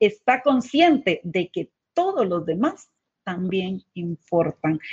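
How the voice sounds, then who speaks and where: The woman's voice is somewhat breathy. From Guatemala. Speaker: leadership coach and co-host. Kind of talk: live webcast talk.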